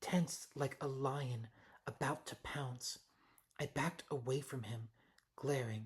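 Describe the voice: A passage read aloud plainly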